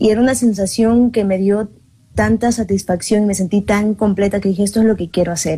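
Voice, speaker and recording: A woman's medium-pitched, somewhat breathy voice moves at a fairly quick pace with a dark, mellow tone and fairly even intonation. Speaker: singer and journalist. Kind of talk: interview chat.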